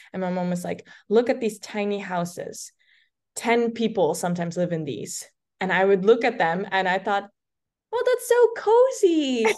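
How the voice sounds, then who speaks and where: Against a quiet background, a woman with a Dutch accent speaks at a moderate pace and a medium pitch with ordinary pitch variation. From Netherlands. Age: 20s. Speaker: content creator. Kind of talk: casual chat. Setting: video call.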